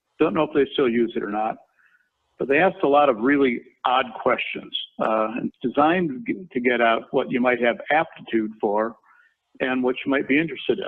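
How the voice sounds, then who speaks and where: With an American accent, the speaker talks at a moderate pace with ordinary pitch variation. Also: man. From Minnesota, US Midwest. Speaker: construction company chairman, former lawyer. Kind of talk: career talk in webinar. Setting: company headquarters, video webinar.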